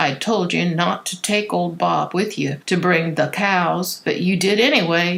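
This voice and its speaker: Noticeable background noise sits under a woman's voice. She speaks at a moderate pace with a fairly low pitch. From St. Louis. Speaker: actress. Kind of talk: audiobook narration of a children's book.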